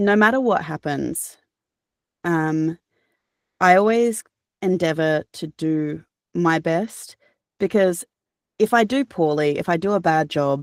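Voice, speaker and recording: Over a silent background in a very clean recording, a woman with an Australian accent speaks at a fairly slow pace with ordinary pitch variation and long, frequent pauses, the sound dry and close with no echo. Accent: cultivated Australian. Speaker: audiobook narrator. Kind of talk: interview answer. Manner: casual, conversational.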